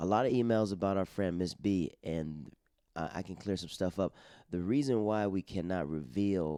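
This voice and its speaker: In a very clean recording with a silent background, a man speaks at a very deep, low pitch with a dark, mellow tone. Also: ordinary pitch variation, moderate pace. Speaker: podcast host and stand-up comedian. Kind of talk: casual chat.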